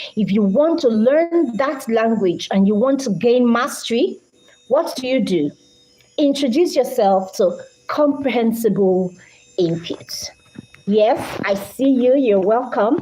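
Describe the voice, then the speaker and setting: Noticeable background noise sits under a voice with a Nigerian accent. It moves at a fairly slow pace with lively intonation. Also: woman, high pitch for a woman. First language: Idoma. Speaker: English language teacher. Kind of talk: live-stream lecture.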